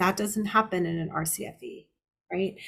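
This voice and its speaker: The speaker is a woman. She talks with a monotone, flat intonation. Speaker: elder abuse litigation lawyer. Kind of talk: lecture. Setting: seminar presentation. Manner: fast.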